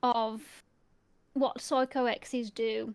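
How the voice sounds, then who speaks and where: Here a woman speaks at a very slow pace. The recording is very clean, with a silent background. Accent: English Midlands. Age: 30s. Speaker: ASMR youtuber, podcast co-host. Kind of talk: casual chat.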